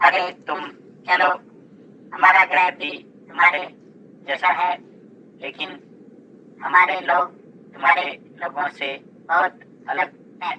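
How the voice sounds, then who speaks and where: A cartoonish character voice at a middle pitch, at a fairly slow pace with long, frequent pauses. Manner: friendly, reassuring.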